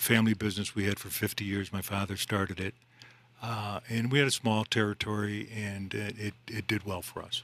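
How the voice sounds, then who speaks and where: A fairly low-pitched man with a slight upstate New York accent, fairly quick and monotone, with flat intonation. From upstate New York (Central New York). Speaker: mortgage loan officer. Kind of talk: radio interview.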